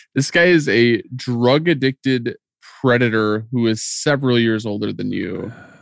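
A man at medium pitch with an unremarkable speaking voice, ordinary pitch variation and moderate pace, over a quiet background. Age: 30s. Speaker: podcast co-host. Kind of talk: casual chat recapping a TV episode.

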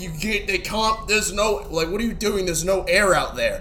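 The voice belongs to a man. There is noticeable background noise. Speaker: podcast co-host. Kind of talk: casual banter, Q&A episode.

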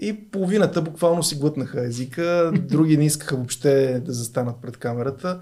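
A man speaks at a moderate pace in a fairly high pitch, with a dark, mellow tone. His pitch varies in an ordinary way, and he hardly pauses at all. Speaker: sports journalist. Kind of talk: interview.

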